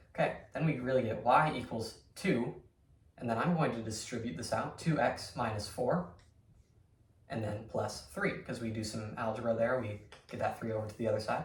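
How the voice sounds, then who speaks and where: A man's medium-pitched voice with ordinary pitch variation, audible room echo and noticeable background noise. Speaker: math teacher. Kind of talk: lecture. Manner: fast; casual, filler words.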